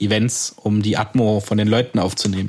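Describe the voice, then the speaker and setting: Recorded very cleanly against a silent background, a man with a fairly low pitch and a slight Swabian accent speaks at a moderate pace in a monotone, flat intonation. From Swabia, southwest Germany. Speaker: podcast co-host, audio producer. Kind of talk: casual chat.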